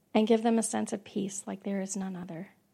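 A woman speaks in a dark, mellow tone. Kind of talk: fervent prayer. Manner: heartfelt, imploring.

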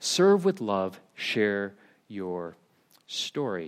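A man talks with a General American accent, his pitch swinging very widely. The recording is very clean with a silent background. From United States. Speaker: preacher. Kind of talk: sermon. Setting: church. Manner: casual, hesitant.

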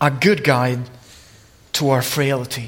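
A man's raised, projected voice moves at a very slow pace through audible room echo and noticeable background noise. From Italy. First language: Italian. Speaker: preacher. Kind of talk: sermon.

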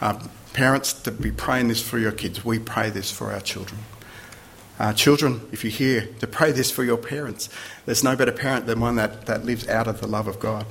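At a fairly quick pace, a man with vocal fry speaks at medium pitch with fairly even intonation in a room with audible echo. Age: 50s. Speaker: visiting preacher. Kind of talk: sermon.

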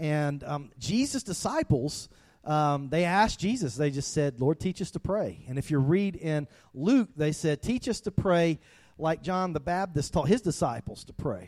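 A man with a strong South Georgia accent speaks at a moderate pace in a fairly high pitch with lively intonation. The recording is very clean with a silent background and a dry, close sound with no echo. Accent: thick South Georgia. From US South, South Georgia. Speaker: pastor. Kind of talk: sermon.

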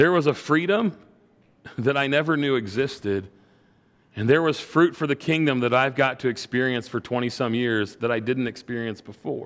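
Here is a man with a normal speaking voice. His pitch is medium and his pace moderate. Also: ordinary pitch variation. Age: 40s. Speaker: pastor. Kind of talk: sermon.

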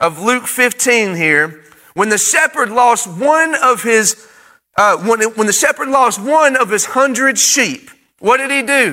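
This man's voice is bright and sharp, raised and projected, extremely high in pitch, and delivered at a fairly slow pace. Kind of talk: sermon, livestreamed to an online congregation. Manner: call-and-response preaching, urging the congregation to say amen; fervent, exhortative, building in emphasis.

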